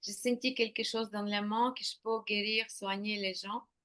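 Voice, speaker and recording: Here a woman speaks in a Ukrainian accent. Her pitch is fairly high, with fairly even intonation. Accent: Eastern European (Ukrainian) accent in French. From Ukraine. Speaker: intuitive painter. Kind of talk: interview. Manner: halting.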